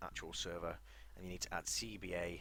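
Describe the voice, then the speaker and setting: In a room with audible echo, a man with a very deep, low pitch, a bright, sharp tone and vocal fry speaks at a very fast pace with ordinary pitch variation. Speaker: gaming YouTuber. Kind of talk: tutorial. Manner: soft-spoken.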